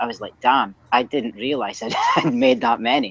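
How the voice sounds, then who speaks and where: A woman with a Scottish accent at a fairly quick pace. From northeast Scotland, Aberdeen. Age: 30s. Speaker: strength coach. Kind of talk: casual interview.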